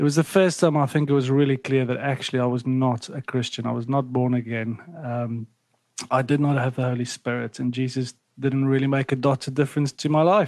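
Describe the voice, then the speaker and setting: A man with a South African accent talks at a fairly quick pace. His pitch is medium and his intonation fairly even. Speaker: ministry national director. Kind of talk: casual chat.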